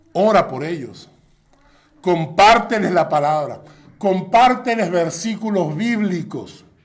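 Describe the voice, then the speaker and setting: A man's high, lively voice at a very slow pace, with audible room echo. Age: 60s. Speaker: pastor. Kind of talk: sermon.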